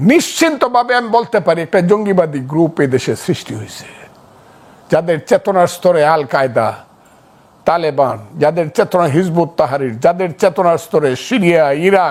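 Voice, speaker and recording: The male speaker's high pitch comes with lively intonation. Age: 70s. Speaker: freedom fighter and political commentator. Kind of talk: talk show interview. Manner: impassioned.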